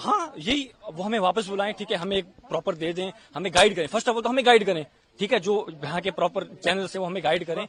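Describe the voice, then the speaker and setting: With noticeable background noise behind him, a man speaks at a high pitch with ordinary pitch variation. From India. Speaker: Pakistani-origin resident facing deportation. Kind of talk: street interview.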